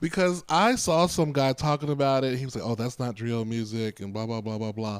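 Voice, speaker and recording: A man with an ordinary speaking voice talks at a fairly quick pace with medium pitch and ordinary pitch variation, on a very clean recording with a silent background. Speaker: podcast co-host. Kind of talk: casual chat.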